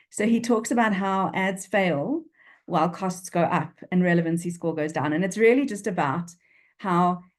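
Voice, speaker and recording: With a Durban accent, a woman speaks at a fairly low pitch. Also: quiet background. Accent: South African, flat Durban vowels. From South Africa, Durban. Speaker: business writing expert and speaker. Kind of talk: interview. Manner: animated.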